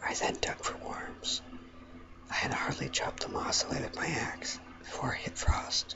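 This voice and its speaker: A whisper at a moderate pace over noticeable background noise. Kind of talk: audiobook reading; ASMR. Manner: whispered.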